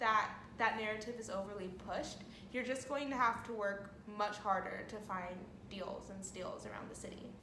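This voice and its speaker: A woman talks amid audible room echo and noticeable background noise. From California. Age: 20s. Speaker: vlogger. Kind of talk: casual vlog talk to camera.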